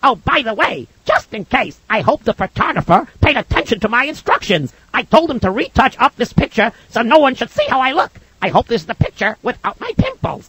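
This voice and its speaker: A put-on character voice pitched fairly high. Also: fairly quick pace. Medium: read story.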